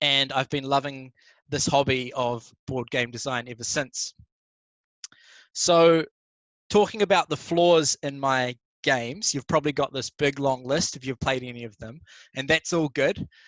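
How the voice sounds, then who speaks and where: A man with a New Zealand accent and a fairly high pitch speaks at a moderate pace, with ordinary pitch variation, big swings in loudness and long, frequent pauses. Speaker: board game designer. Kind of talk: conference talk. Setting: live stream.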